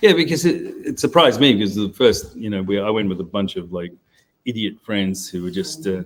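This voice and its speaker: With an Australian accent, a man with a fairly low pitch speaks at a fairly quick pace and with lively intonation. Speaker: onsen hotel owner and show co-host. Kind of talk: casual chat. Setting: live stream. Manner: halting.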